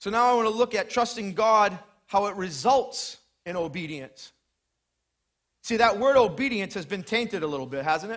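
With a high pitch, lively intonation and an animated tone, a man speaks with long, frequent pauses. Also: moderate pace. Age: 40s. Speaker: preacher. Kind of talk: sermon.

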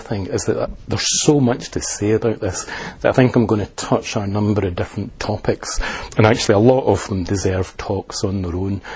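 Background noise is noticeable. Over it, a man with a fairly low pitch speaks at a fairly quick pace. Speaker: Buddhist teacher and liaison officer. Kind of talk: lecture. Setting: talk to an audience. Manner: hesitant, self-correcting.

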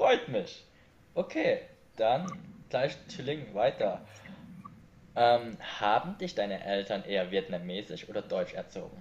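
A man talks very slowly, stopping often for long pauses. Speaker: video podcast host. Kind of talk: casual interview chat.

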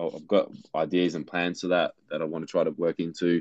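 This man's very deep, low voice stays monotone and flat, recorded with a dry, close sound and no echo. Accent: Australian. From Australia. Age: 30s. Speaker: visual artist, former electrician. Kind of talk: interview.

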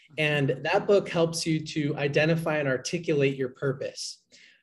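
With an American accent and a normal speaking voice, a man speaks at a moderate pace in a fairly high pitch with ordinary pitch variation, on a very clean recording with a silent background. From Boston, Massachusetts. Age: 20s. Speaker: book podcaster and entrepreneur. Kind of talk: interview chat.

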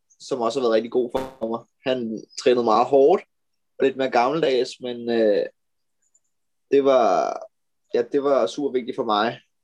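Man at a medium pitch, fairly slow pace, fairly even intonation and long, frequent pauses. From Denmark, Amager (Copenhagen). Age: 20s. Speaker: professional road cyclist. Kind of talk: interview. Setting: video call.

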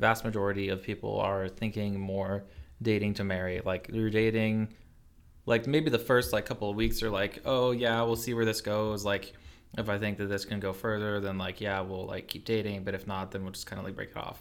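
A man talks at a moderate pace with a fairly low pitch. His intonation stays monotone and flat. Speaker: engineering student. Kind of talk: casual chat.

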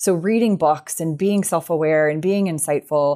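In a very clean recording over a silent background, a woman with a fairly low voice and ordinary pitch variation speaks in a normal speaking voice. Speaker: sport psychologist. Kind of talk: interview.

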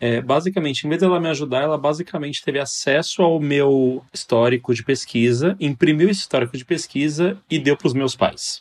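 A man with a plain, everyday voice talks at a fairly high pitch and a fairly quick pace, with ordinary pitch variation and hardly any pauses. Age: 20s. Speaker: medical student. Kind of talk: casual chat.

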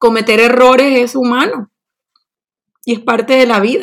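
The woman's voice is high-pitched. She speaks fairly slowly. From Colombian Caribbean coast, Barranquilla. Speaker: Spanish teacher. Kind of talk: interview.

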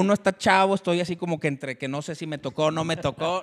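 An animated man in a Mexican accent at a very fast pace. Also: dry, close sound with no echo. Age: 40s. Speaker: show host. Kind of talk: casual chat.

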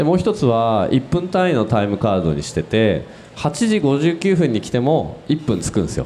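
There is noticeable background noise as a man speaks at a moderate pace. His medium-pitched voice swings very widely in pitch. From Tokyo. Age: 40s. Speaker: business owner. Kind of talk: panel discussion. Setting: live recording with audience.

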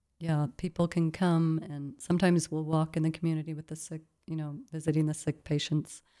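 A dark, mellow tone comes through with a Midwestern accent and a monotone, flat intonation. The recording is very clean, with a silent background. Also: woman. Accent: American Midwest. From US Midwest. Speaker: missionary. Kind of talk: interview.

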